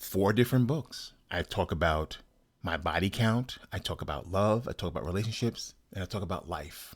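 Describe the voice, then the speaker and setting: A man talks at a moderate pace in an ordinary speaking voice, fairly low, with ordinary pitch variation. The recording is very clean with a silent background. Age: 60s. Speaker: writer and podcast host. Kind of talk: personal monologue.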